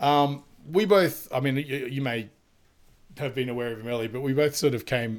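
The speaker is a man with a medium pitch. He talks at a fairly quick pace with ordinary pitch variation. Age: 30s. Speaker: podcast host and comic illustrator. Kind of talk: casual chat. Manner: animated.

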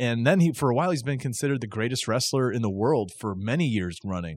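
A normal speaking voice with lively intonation, captured in a very clean recording against a silent background. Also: man. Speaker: wrestling podcast host. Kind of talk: casual chat.

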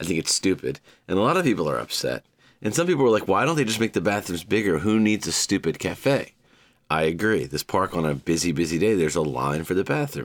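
A man talks very fast with vocal fry, a very deep, low pitch, very wide pitch swings and very even loudness in a very clean recording with a silent background. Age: 40s. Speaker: podcast host. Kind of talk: solo podcast monologue. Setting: home recording with microphone. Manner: casual, rambling with laughs.

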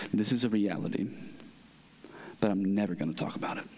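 A man at a very fast pace, fairly low in pitch, with audible room echo. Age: 30s. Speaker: pastor. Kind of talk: sermon.

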